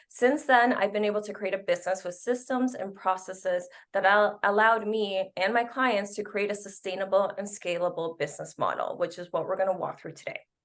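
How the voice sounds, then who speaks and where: A woman speaks with a slight Spanish accent. Her pace is fairly quick. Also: medium pitch for a woman, fairly even intonation, hardly any pauses. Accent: slight Spanish accent on some words. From Canada. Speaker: business coach. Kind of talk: webinar presentation.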